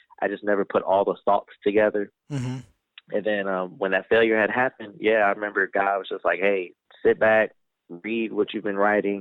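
Here is a man with an unremarkable speaking voice, pitched fairly low. He talks at a fairly quick pace with fairly even intonation. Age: 20s. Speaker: author and inspirational speaker. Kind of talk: casual interview chat.

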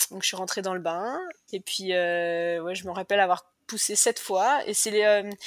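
On a very clean recording with a silent background and a dry, close, echo-free sound, a woman speaks at a medium pitch and a moderate pace with ordinary pitch variation. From western France, Cholet. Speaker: cancer survivor and mother. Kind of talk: testimony. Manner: talkative.

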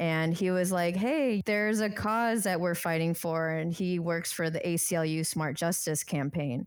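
A plain, everyday voice moves at a fairly slow pace with fairly even intonation. The recording is very clean, with a silent background. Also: woman. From US Midwest, Chicago. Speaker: formerly incarcerated activist. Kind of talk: podcast interview.

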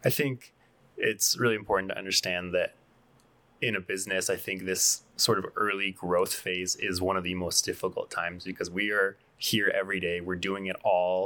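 On a very clean recording with a silent background, a man with an American accent speaks at a moderate pace in a fairly low pitch, his tone bright and sharp and his intonation monotone and flat. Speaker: coffee shop co-owner.

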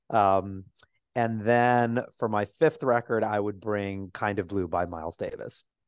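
At a fairly slow pace, a man with an ordinary speaking voice talks at a fairly low pitch with fairly even intonation. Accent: American. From New York City, Lower East Side. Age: 40s. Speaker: Broadway producer and writer. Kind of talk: casual interview.

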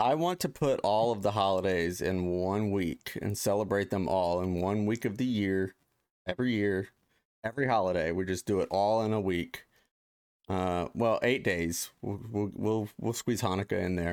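A man speaks with an American accent in a plain, everyday voice, fairly low in pitch with ordinary pitch variation. His pace is moderate, his loudness very even, and the recording very clean with a silent background. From Ohio, US Midwest. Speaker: podcast host. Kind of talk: casual chat. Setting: studio, live stream.

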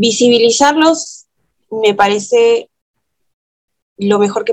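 A woman speaking at a very slow pace. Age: 30s. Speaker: film critic. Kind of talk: interview. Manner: hesitant, many fillers.

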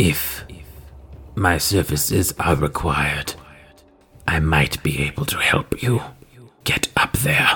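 A man whispers in a put-on character voice at a fairly slow pace. He leaves long, frequent pauses while faint music plays behind him. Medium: actual play. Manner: cold, curt, unfriendly.

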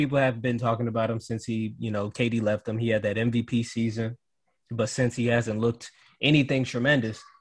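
With an American accent, a man talks at a fairly quick pace in a normal speaking voice at a medium pitch, on a very clean recording with a silent background. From Cleveland, Ohio. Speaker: student and podcaster. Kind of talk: casual chat.

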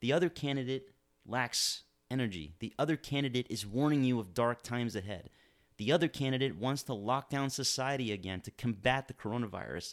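Recorded very cleanly against a silent background, a man with an American accent and a plain, everyday voice talks fairly quickly at a medium pitch with ordinary pitch variation. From Miami, Florida. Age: 40s. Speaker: political podcast host and lawyer. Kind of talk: political commentary monologue.

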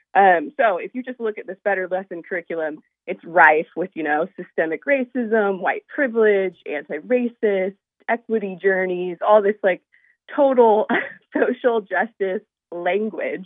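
Speaking in an American accent, a woman has an unremarkable speaking voice at a medium pitch, with ordinary pitch variation, a moderate pace and big swings in loudness. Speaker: parent and activist. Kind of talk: radio interview. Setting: phone call.

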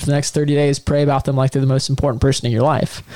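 Against noticeable background noise, a man speaks at a very fast pace in a fairly high pitch. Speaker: podcast co-host. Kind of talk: casual chat. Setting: studio.

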